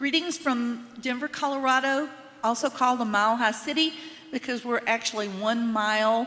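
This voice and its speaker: A woman's fairly high voice with a slight Southern US accent, ordinary pitch variation and noticeable background noise. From US South (Mississippi and Tennessee). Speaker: choir member. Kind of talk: spoken introduction at a concert.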